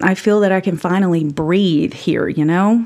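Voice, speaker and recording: A woman speaks with an Appalachian accent. Her voice is fairly low and her pace fairly slow. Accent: Appalachian Southern US. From Appalachia, Tennessee. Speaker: podcast host. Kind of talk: scripted narration, personal storytelling.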